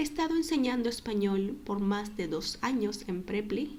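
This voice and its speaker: A woman speaks at a moderate pace with a fairly high pitch and a dark, mellow tone. Her voice is somewhat breathy, and there is audible room echo. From Peru. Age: 20s. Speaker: online Spanish tutor. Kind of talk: self-introduction video.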